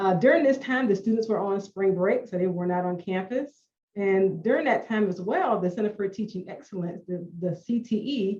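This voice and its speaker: A woman speaks at medium pitch in a somewhat breathy voice with ordinary pitch variation. Her pace is moderate, with hardly any pauses. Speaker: instructional designer. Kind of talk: panel discussion. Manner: halting with blocks and repetitions.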